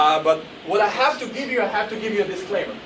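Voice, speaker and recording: Over noticeable background noise and audible room echo, a man with a Croatian accent speaks in an animated tone. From Croatia, Zagreb. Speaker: motivational speaker. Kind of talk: motivational speech. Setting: stage with audience. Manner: fast.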